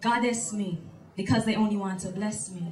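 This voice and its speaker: A woman talks at a fairly quick pace. Noticeable background noise comes through. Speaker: spoken word poet. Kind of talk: spoken word poetry performance. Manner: powerful delivery.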